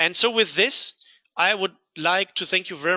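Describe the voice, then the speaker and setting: A voice with a Rhineland accent comes through bright and sharp, recorded dry and close with no echo. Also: man. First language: German. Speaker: software company CEO. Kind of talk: webinar presentation. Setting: online webinar.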